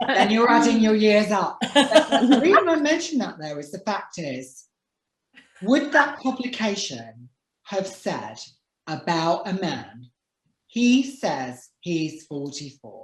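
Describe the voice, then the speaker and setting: Speaking very slowly, a woman uses a medium pitch with vocal fry. Her pitch swings very widely and her loudness shifts a great deal. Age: 40s. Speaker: talk show host and author. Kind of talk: casual chat.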